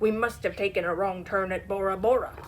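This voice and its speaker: A woman bellows loudly in a put-on character voice at a medium pitch. Clear background noise is audible. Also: fairly quick pace. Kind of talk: read-aloud picture book. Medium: read story. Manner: loud, bellowing pirate talk.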